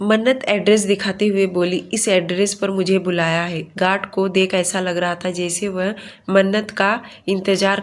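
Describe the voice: Someone does plain reading aloud here.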